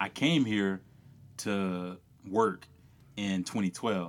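In a very clean recording with a silent background, a man with a Louisiana accent talks at a fairly low pitch with ordinary pitch variation. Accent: Louisiana Southern US. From rural Louisiana. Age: 30s. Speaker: cyclist. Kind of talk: casual chat.

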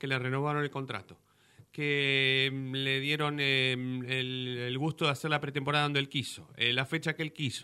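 Bright, sharp-toned man at medium pitch, monotone and flat, moderate pace. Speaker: football fan commentator. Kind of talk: casual chat.

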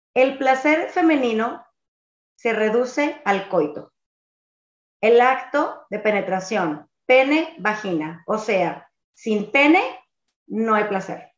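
A woman's fairly high voice at a very slow pace, with very wide pitch swings and long, frequent pauses. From Sonora, Mexico. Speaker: podcast host. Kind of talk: casual chat; reading aloud.

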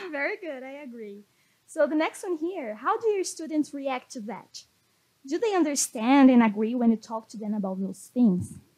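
A woman with a Portuguese accent speaks at a high pitch in a dark, mellow tone. Her pitch swings very widely and her loudness shifts in big swings. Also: moderate pace. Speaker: podcast host. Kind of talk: scripted intro; interview in English.

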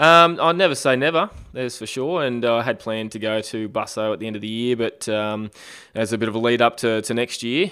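A man speaks with an Australian accent. His pace is fairly quick, with ordinary pitch variation. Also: medium pitch for a man. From Australia, Queensland (Caboolture). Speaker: Ironman triathlete. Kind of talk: casual interview.

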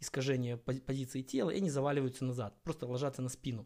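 Moving at a fairly quick pace, a man speaks in a dark, mellow tone. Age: 30s. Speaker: podcast host and amateur endurance athlete. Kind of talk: solo podcast monologue on fitness. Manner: casual, with filler hesitations.

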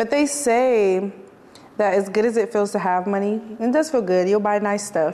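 Over noticeable background noise, a woman speaks at a moderate pace. Her pitch is medium, with ordinary pitch variation. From Detroit, east side. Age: 20s. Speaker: podcast host. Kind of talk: casual interview.

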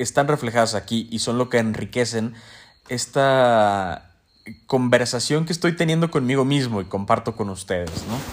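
On a very clean recording with a silent background, a man with a plain, everyday voice speaks at a medium pitch with lively intonation. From Mexico. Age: 20s. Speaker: podcast host. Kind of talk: casual monologue.

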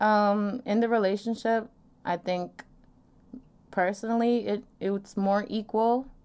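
A woman with an American accent speaks at a very slow pace with long, frequent pauses, her fairly high voice monotone and flat and her loudness very even. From New York, Long Island. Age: 20s. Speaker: podcast guest on sex and dating. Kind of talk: casual chat.

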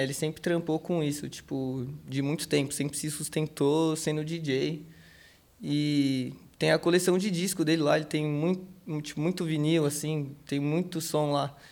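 Using a normal speaking voice, a man speaks at a fairly slow pace with fairly even intonation. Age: 20s. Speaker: skateboarder. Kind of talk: interview. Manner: casual slangy speech.

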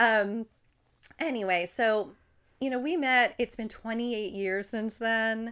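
Over a very clean recording with a silent background, a woman with a New Jersey accent speaks at a fairly slow pace. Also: fairly high pitch for a woman, ordinary pitch variation. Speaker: podcast host and farmer. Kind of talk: casual chat. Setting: studio.

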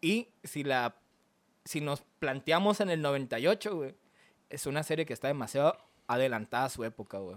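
At a moderate pace with long, frequent pauses, a man speaks in a fairly high voice with lively intonation, in a very clean recording over a silent background. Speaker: anime podcast co-host. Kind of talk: casual chat.

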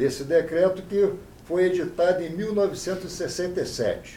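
There is audible room echo around a man speaking in a high pitch. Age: 70s. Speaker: appellate judge. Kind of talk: interview.

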